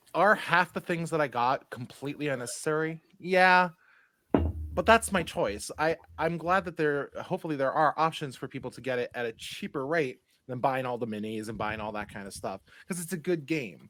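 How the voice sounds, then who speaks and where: With music in the background, a man talks at a moderate pace with a fairly high pitch. His intonation is lively, and the sound is dry and close with no echo. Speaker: board game content creator. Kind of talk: casual chat. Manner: loud and boisterous.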